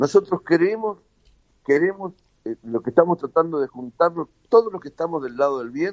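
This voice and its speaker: A normal speaking voice at a moderate pace, lively in intonation, with a dry, close sound and no echo. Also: man. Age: 60s. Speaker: inventor and civic group founder. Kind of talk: radio interview.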